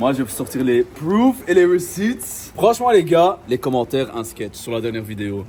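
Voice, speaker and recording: A man at medium pitch talks at a moderate pace with hardly any pauses and very wide pitch swings. Noticeable background noise runs behind him. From Brussels.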